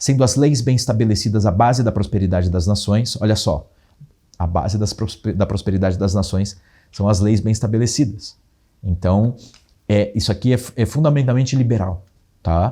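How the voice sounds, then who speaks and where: With a fairly low pitch, a dark, mellow tone, and a somewhat breathy quality, a man speaks with ordinary pitch variation. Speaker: teacher. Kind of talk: lecture. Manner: fast.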